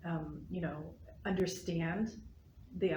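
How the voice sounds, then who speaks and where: In a room with audible echo, a woman with a fairly low pitch and vocal fry talks at a moderate pace in a monotone, flat intonation. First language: not English. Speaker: library board president. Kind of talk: casual chat.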